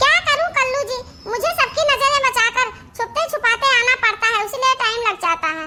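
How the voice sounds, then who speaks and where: A woman does a cartoonish character voice at an extremely high pitch with lively intonation. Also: moderate pace. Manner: standard Hindi, giggly, coquettish.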